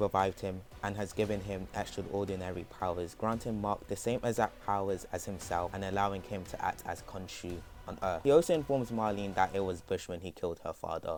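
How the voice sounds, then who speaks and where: A man talks at a fairly quick pace with a fairly low pitch. His pitch varies in an ordinary way, and music plays in the background. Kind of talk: comic character backstory narration. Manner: fast; nervous.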